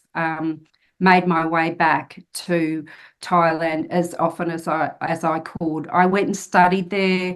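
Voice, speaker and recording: In an Australian accent, a woman speaks at a fairly slow pace with a fairly low pitch and monotone, flat intonation against a quiet background. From Australia, country New South Wales. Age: 50s. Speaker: author and solo traveller. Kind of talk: podcast interview.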